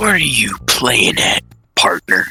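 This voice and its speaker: Someone performs a put-on character voice. Faint music plays in the background. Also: man. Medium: audio drama.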